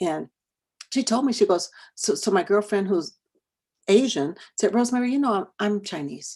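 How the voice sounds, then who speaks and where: A woman with an American accent, animated tone, lively intonation, somewhat breathy delivery and moderate pace. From California. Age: 60s. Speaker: educator and diversity trainer. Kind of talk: online workshop presentation.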